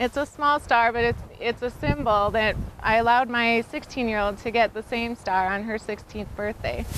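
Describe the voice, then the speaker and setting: A woman with a plain, everyday voice speaks in an American accent at a fairly high pitch. Her pace is moderate, her pitch variation ordinary, and she hardly pauses. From US Midwest, South Dakota. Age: 30s. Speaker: motorcycle racer and custom bike shop co-owner. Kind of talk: casting video monologue.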